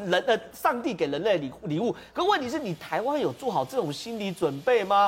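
Against noticeable background noise, a man talks fairly quickly in a high voice with very wide pitch swings. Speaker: TV political talk show commentator. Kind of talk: TV panel discussion.

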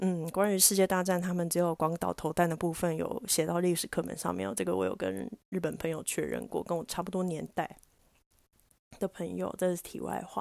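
A woman talks fairly quickly, captured in a very clean recording against a silent background. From Taiwan. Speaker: podcast host and diving instructor. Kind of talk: casual solo talk.

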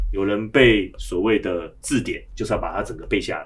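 This man talks at a moderate pace with a Taiwanese accent. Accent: Taiwanese Mandarin. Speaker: education director. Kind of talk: casual chat.

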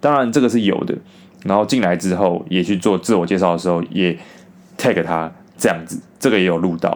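A man with a Taiwanese accent, a very deep, low pitch and a very fast pace. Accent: Taiwanese Mandarin. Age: 20s. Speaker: podcaster. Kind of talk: storytelling monologue.

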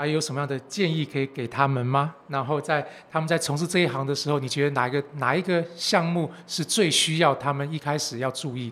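A man with a fairly high pitch talks at a very fast pace with hardly any pauses. His intonation stays fairly even. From Taiwan. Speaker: podcast host. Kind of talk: casual chat.

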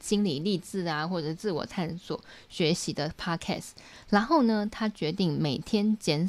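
A woman talks at a fairly slow pace. Her pitch is fairly low, with ordinary pitch variation. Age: 30s. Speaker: YouTuber and book club host. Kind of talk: book review livestream. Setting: home livestream. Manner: casual, chatty.

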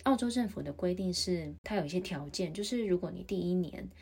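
Somewhat breathy and dark, mellow in tone, a woman speaks at a moderate pace with a fairly low pitch. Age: 30s. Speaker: podcaster. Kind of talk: solo podcast monologue.

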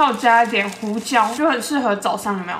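Here a woman speaks with a fairly high pitch. Audible room echo and noticeable background noise accompany her. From Taiwan, Yilan. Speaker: podcast host, food reviewer. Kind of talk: casual food review monologue. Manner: animated.

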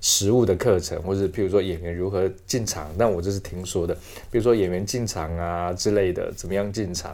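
A man speaks with ordinary pitch variation. He has a plain, everyday voice. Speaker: theatre actor and director. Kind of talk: interview.

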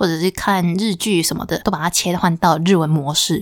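On a very clean recording with a silent background, a woman with a Taiwanese accent speaks at a moderate pace. Her pitch is medium and her intonation fairly even. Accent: Taiwanese Mandarin. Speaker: podcast host. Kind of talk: arts news segment; casual solo podcast talk. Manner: hesitant, many fillers and self-corrections.

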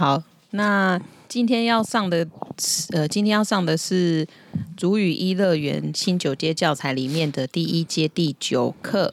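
A woman speaks fairly slowly in an ordinary speaking voice, fairly low in pitch, with ordinary pitch variation and very even loudness. The recording is very clean, with a silent background. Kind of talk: casual language lesson chat.

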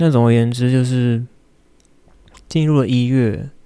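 At a fairly slow pace, a man with a Taiwanese accent speaks in a dark, mellow tone with ordinary pitch variation. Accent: Taiwanese Mandarin. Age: 30s. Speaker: podcaster and graduate student. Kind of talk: personal monologue. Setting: home recording in bedroom. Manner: halting, with frequent fillers and repeated words.

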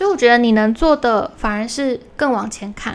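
A woman's normal speaking voice, fairly high in pitch, at a moderate pace with ordinary pitch variation. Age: 20s. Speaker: solo podcast host. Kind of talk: casual monologue, listener Q&A. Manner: casual, with many fillers and self-corrections.

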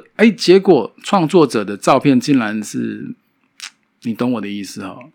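A man with a fairly high pitch talks at a moderate pace in a very clean recording with a silent background. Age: middle-aged. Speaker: podcast host and photographer. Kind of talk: casual solo monologue.

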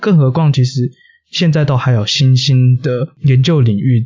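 With a Taiwanese accent, a man speaks at a medium pitch, somewhat breathy, with ordinary pitch variation. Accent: Taiwanese Mandarin. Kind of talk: casual chat.

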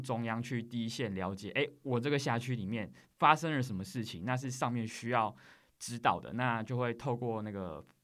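A very clean recording, silent background, and a moderate pace. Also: man. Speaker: government investigator. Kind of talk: interview. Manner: articulate.

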